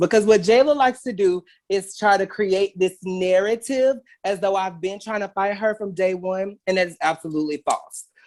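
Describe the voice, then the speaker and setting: This man talks at a moderate pace with a high pitch. His tone is animated and his intonation lively. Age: 30s. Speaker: celebrity stylist and fashion designer. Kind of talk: casual interview.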